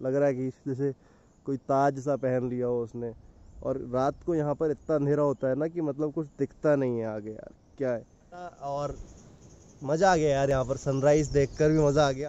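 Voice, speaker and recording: A man at a moderate pace with fairly even intonation, the sound dry with no echo. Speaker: travel vlogger. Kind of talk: casual vlog chat. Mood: calm, awed by the view. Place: street. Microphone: phone near.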